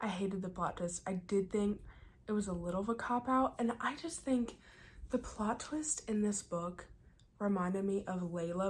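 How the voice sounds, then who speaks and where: A woman whispering, somewhat breathy. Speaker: book vlogger. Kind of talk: casual vlog review. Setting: cabin in the mountains.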